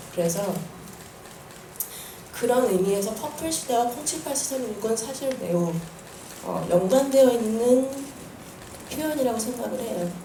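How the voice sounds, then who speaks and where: Lively intonation marks a woman's fairly high voice as she speaks at a fairly slow pace with long, frequent pauses. Noticeable background noise and audible room echo surround her. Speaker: musical creator answering press questions. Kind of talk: press conference answer. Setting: press event with audience. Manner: halting.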